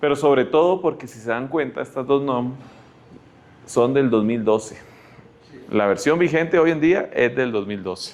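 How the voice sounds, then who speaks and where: A man with a Costa Rican accent, ordinary pitch variation and a moderate pace. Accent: Costa Rican Spanish, noticeable. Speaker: health tech speaker. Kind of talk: lecture. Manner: halting.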